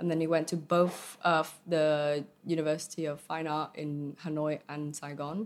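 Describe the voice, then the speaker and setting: Over a very clean, silent background, a woman with a Vietnamese accent speaks at a moderate pace in a very deep, low voice with monotone, flat intonation. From Vietnam and England (boarding school from age nine). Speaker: arts community project founder. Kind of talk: casual interview. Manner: hesitant, many fillers.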